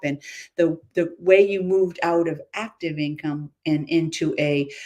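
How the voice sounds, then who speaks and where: An unremarkable speaking voice with ordinary pitch variation. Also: woman. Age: 60s. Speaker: entrepreneur, former salon makeup business owner. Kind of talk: interview on a live video stream.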